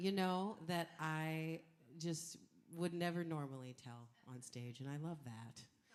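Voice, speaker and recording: A woman with a very deep, low pitch and ordinary pitch variation, speaking at a very slow pace amid audible room echo. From Canada, Edmonton. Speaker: singer. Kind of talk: stage banter. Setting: stage with audience. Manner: animated.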